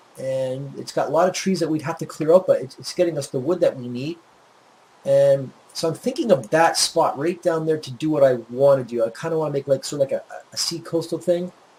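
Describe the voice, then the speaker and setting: A man with a Maritime Canadian accent, fairly high pitch, ordinary pitch variation, big swings in loudness and a fairly quick pace. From Nova Scotia, Canada (Yarmouth). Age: 40s. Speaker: gaming YouTuber. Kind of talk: gameplay commentary. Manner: casual, rambling.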